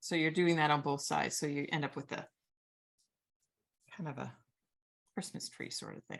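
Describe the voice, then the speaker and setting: Vocal fry runs through a woman's very deep, low voice, her intonation fairly even at a moderate pace. Long, frequent pauses break it up against a quiet background. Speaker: origami teacher. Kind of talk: tutorial.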